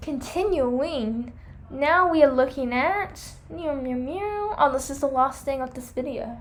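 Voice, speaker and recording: In a high pitch with ordinary pitch variation, a woman talks at a fairly slow pace amid audible room echo. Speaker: hamster care vlogger. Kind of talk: product review vlog.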